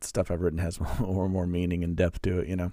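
In a very clean recording with a silent background, a man with an American accent speaks in a very deep, low pitch and a dark, mellow tone. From Missouri, US Midwest. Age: 30s. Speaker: religious podcaster. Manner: halting.

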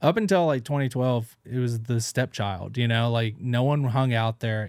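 A man with a Southern US accent, medium pitch, ordinary pitch variation and a moderate pace on a very clean recording with a silent background. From rural Tennessee, US South. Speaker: stand-up comedian. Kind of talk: casual chat.

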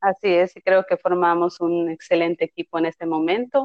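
Her pitch is fairly low for a woman, and she uses a normal speaking voice at a moderate pace. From Yucatán, Mexico (Tekax). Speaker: special education teacher. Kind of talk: interview, explanatory.

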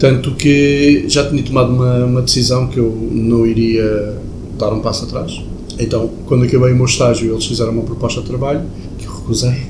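Amid noticeable background noise and audible room echo, a man speaks fairly quickly in a flat, monotone way. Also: medium pitch for a man. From Portugal, mostly Lisbon. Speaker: chef. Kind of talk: interview.

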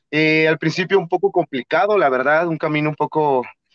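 A man speaks in a normal speaking voice at a fairly quick pace, with ordinary pitch variation. The sound is dry and close, with no echo. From Mexico, Atlixco, Puebla. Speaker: professional wrestler. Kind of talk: interview.

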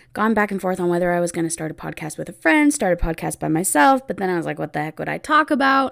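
In a very clean recording with a silent background, a woman with a West Coast accent speaks at medium pitch with very wide pitch swings. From US Pacific Northwest, Oregon. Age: 20s. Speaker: podcast host, special education teacher. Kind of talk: casual solo podcast monologue.

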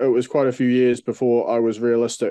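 A man's dark, mellow voice in a New Zealand accent, moderate in pace, dry and close with no echo. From New Zealand, Dunedin. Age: 30s. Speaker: professional MMA fighter. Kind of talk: casual interview.

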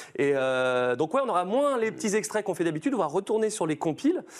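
A man is speaking. The background is quiet. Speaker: stream host and voice actor. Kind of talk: casual chat, sponsored intro. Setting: studio, live stream with chat. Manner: animated, jokey.

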